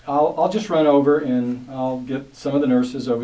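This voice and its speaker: A medium-pitched man keeps a moderate pace while noticeable background noise goes on behind him. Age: 60s. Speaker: community leader. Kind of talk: interview testimony. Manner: halting.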